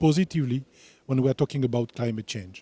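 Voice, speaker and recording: A man speaks with a French accent in a dark, mellow tone. His pitch varies in an ordinary way, and the sound is dry and close with no echo. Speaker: international initiative executive. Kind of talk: panel discussion. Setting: stage with audience.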